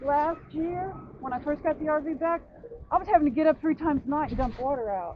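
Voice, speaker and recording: A woman's high-pitched voice with an American accent, very fast, with ordinary pitch variation and noticeable background noise. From Louisiana. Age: 60s. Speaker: person living in an RV. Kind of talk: casual chat. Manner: animated.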